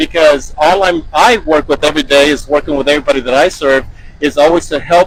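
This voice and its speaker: Fairly quick speech from a man with a fairly high pitch. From Texas, Baytown. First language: Spanish. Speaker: school superintendent. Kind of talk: interview answers. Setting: on a school bus.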